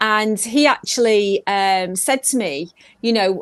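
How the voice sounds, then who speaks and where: A woman speaks with a slight Manchester accent and a fairly high pitch. Her pitch varies in an ordinary way, and the background is quiet. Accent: slight Mancunian twang. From northern England, Manchester. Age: 50s. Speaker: pop singer. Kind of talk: interview. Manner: animated.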